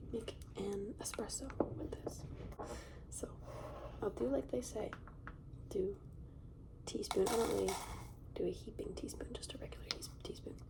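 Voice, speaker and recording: Over noticeable background noise, a whisper moves at a moderate speed, broken by long, frequent pauses. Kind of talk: ASMR soft-spoken talk to camera. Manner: soft-spoken.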